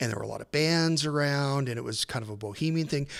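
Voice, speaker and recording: A normal speaking voice from a man with an American accent, fairly high in pitch, with ordinary pitch variation, on a very clean recording with a silent background. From New Mexico, US Southwest. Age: 50s. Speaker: musician and journalist. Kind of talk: podcast interview.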